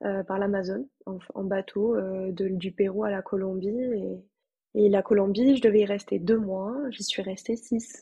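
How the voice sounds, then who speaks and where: This woman's medium-pitched voice has a dark, mellow tone and is somewhat breathy. Her intonation is fairly even and her pace fairly slow. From France, Toulouse. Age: 20s. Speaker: former volunteer. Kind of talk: casual interview.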